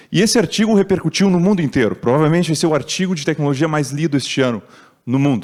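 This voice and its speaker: Here a man talks at a very fast pace in a fairly high pitch. His intonation is lively. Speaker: tech speaker at conference.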